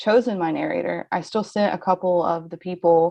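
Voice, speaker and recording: This speaker talks at a moderate pace in a Southern accent, with ordinary pitch variation. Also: woman. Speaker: novelist. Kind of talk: casual chat.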